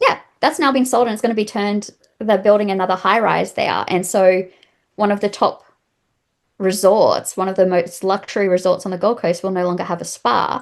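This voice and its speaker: At a fairly quick pace, a woman with an Australian accent speaks at medium pitch with ordinary pitch variation. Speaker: massage therapist. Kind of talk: interview.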